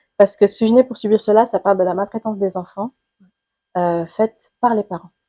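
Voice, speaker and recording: A woman of medium pitch speaks at a fairly quick pace with a dark, mellow tone and fairly even intonation. Her loudness swings widely, and the sound is dry and close with no echo. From Senegal, Dakar. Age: young. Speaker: writer and screenwriter. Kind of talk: interview answer.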